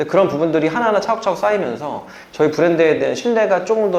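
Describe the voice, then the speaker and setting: Talking at a very fast pace with lively intonation, a man with a high voice comes through audible room echo and noticeable background noise. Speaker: franchise brand owner. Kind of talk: casual interview chat. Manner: hesitant, stumbling speech.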